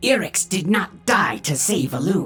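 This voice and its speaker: Over faint background music, a growling put-on character voice speaks at a middle pitch and a moderate pace. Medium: read story.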